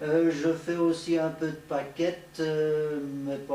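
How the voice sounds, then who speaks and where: Someone speaks at a very slow pace amid audible room echo and noticeable background noise. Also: man. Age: 70s. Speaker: radio amateur, retired teacher. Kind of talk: show-and-tell presentation. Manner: hesitant.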